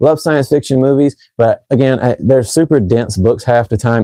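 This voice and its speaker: Very fast speech from a man with an American accent, a dark, mellow tone and ordinary pitch variation, dry and close with no echo. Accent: shifts when talking fast. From North Carolina. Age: 30s. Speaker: fragrance reviewer. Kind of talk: live stream chat. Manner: casual.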